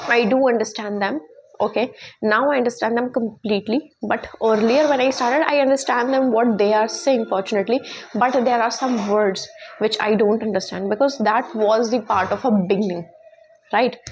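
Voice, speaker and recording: Noticeable noise sits behind a woman whose fairly high voice rises and falls in an ordinary manner. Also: moderate pace, very even loudness. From India. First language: Hindi. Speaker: English teaching YouTuber. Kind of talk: tutorial. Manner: halting, with many fillers and restarts.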